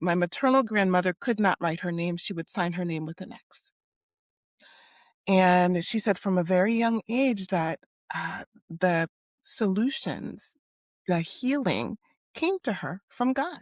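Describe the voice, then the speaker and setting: A woman with an American accent talks at a medium pitch and a fairly slow pace, her intonation lively and broken by long, frequent pauses. The recording is very clean and dry, close with no echo, over a silent background. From US East Coast, Haitian-American. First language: Haitian Creole. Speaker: psychologist. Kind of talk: interview conversation.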